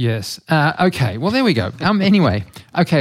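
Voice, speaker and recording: A man talks with very wide pitch swings. The recording is very clean, with a silent background. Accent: Australian. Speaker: podcast host. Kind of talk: casual chat about film visual effects.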